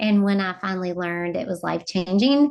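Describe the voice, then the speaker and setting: A woman with a Southern US accent, fairly low in pitch, with ordinary pitch variation. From US South. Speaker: educator and instructional designer. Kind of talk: webinar presentation.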